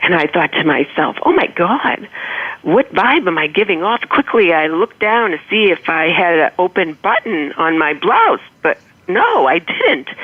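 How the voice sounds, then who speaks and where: A woman with an American accent speaks at a moderate pace in a fairly low voice over noticeable background noise. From Boston, Massachusetts. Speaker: motivational humorist, author. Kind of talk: storytelling in interview.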